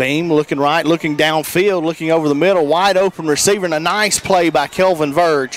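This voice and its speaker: A man with an American accent speaks fairly quickly and fairly high, with fairly even intonation, very even loudness and hardly any pauses, over noticeable background noise. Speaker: radio color commentator. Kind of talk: live commentary.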